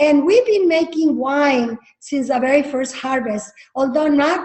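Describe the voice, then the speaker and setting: A woman with a Spanish accent speaks at a fairly slow pace and a high pitch, with ordinary pitch variation. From Jalisco, Mexico; grew up from age 12 in Napa Valley, California. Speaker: winery founder. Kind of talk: interview storytelling. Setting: video call.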